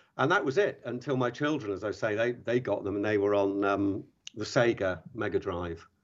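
With an English accent, a man speaks at a moderate pace in a fairly low pitch, his pitch varying in an ordinary way over a quiet background. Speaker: podcast co-host, secondary school educator. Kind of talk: podcast interview.

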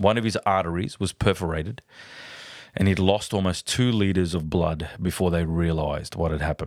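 With an Australian accent, a man talks at a fairly quick pace in a very deep, low pitch and fairly even intonation, on a very clean recording over a silent background. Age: 40s. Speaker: podcast host. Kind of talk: personal monologue. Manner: hesitant with fillers.

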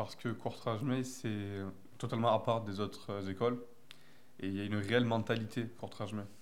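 A man speaks at a medium pitch in a flat, monotone way, with long, frequent pauses. The room echo is audible. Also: moderate pace. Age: 20s. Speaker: film school student. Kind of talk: interview.

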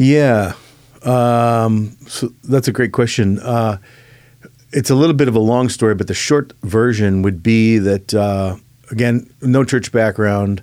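In a very clean recording with a silent background, a man with an American accent and a normal speaking voice talks at a fairly slow pace, medium in pitch, with fairly even intonation and very even loudness. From Chicago. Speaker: pastor. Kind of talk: casual interview. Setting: studio.

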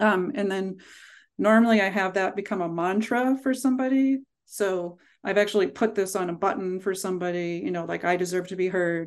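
A woman with an American accent talks fairly quickly in an ordinary speaking voice, medium-pitched with ordinary pitch variation, against a quiet background. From Pittsburgh, US. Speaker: speech-language pathologist and professor. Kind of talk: casual interview conversation.

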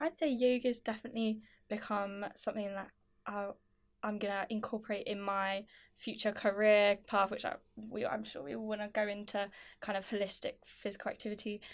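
A woman with an unremarkable speaking voice, medium-pitched, fairly quick and fairly even in intonation. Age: 20s. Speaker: undergraduate education student. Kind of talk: casual chat.

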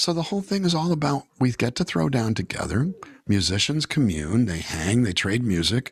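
A man with an American accent speaks at a moderate pace in a medium pitch, somewhat breathy, with very wide pitch swings. The sound is dry and close with no echo, a very clean recording with a silent background. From California. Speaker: singer-songwriter. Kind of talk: casual interview. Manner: animated storytelling.

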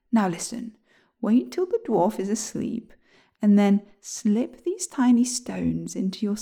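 An unforced reading voice carries ordinary pitch variation. The background is quiet.

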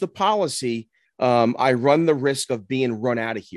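Against a quiet background, a man with an ordinary speaking voice and medium pitch speaks at a fairly slow pace with ordinary pitch variation, in a dry, close sound with no echo. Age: 50s. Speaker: podcast co-host. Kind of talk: casual chat.

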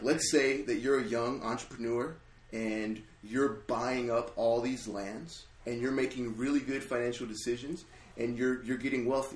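This man has a normal speaking voice at a medium pitch and keeps a moderate pace. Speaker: ministry intern. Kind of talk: casual chat.

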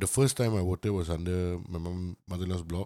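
The sound is dry and close, with no echo, in a very clean recording with a silent background. Pitch variation is ordinary and the tone dark and mellow. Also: man. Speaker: podcast co-host. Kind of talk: casual chat. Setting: studio.

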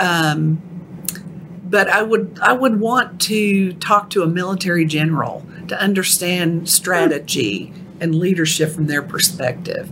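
Someone with a Texan accent speaks at a fairly slow pace with ordinary pitch variation over noticeable background noise. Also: woman, fairly low pitch for a woman. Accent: Texan, noticeable twang. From Texas. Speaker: ghostwriter. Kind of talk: casual interview chat.

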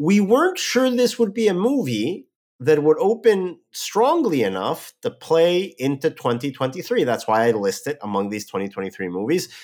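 The speech moves at a fairly slow pace with hardly any pauses and very wide pitch swings. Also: man, fairly high pitch for a man. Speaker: podcast host. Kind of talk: casual chat.

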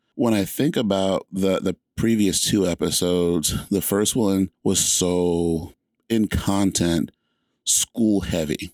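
A man with an American accent talks at a very deep, low pitch with fairly even intonation. The recording is very clean, with a silent background and a dry, close sound with no echo. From US South. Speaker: podcast host. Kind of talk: solo podcast monologue. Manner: friendly, conversational.

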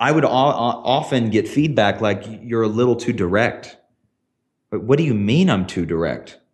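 A man speaks with an American accent in a normal speaking voice. His pace is moderate. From US South, small town. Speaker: tech creative director, former TV production. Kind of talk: interview conversation.

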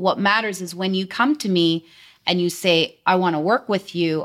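On a very clean recording with a silent background, a woman with a Canadian accent talks at a moderate pace in an ordinary speaking voice, her pitch medium with ordinary variation. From British Columbia, Canada (Delta, near Vancouver). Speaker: insurance sales agent. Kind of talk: interview.

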